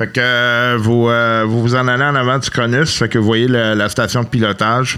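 Speaking with a Quebec accent, the voice is monotone with flat intonation, very even in loudness, and bright and sharp in tone. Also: man, medium pitch for a man, moderate pace. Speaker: game master of a tabletop role-playing podcast. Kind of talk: tabletop role-play narration. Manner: halting.

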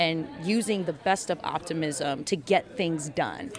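Over noticeable background noise, the voice uses ordinary pitch variation. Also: woman. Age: 30s. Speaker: musical theatre singer. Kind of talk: casual interview.

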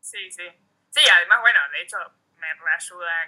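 A speaker with an Argentine accent talks at a moderate pace. The tone is bright and sharp. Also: woman. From Argentina, Neuquén (Junín de los Andes). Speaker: muralist and artist. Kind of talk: casual interview.

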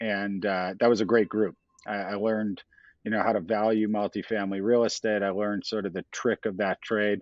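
Speaking fairly quickly with an American accent, a man keeps a fairly low pitch and a monotone, flat intonation. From Chicago. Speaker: tech company CEO. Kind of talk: interview.

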